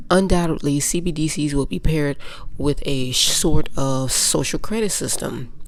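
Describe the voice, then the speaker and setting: A woman speaks at a very deep, low pitch with ordinary pitch variation. Noticeable background noise runs behind her. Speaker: finance YouTuber. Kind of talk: commentary monologue. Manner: animated.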